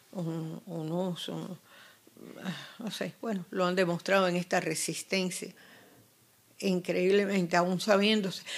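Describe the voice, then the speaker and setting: A woman talks at a very slow pace in a flat, monotone intonation. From Cuba. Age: 80s+. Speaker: activist mother of a prisoner. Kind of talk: interview; interview answer. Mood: earnest, at times indignant. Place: home room. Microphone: handheld.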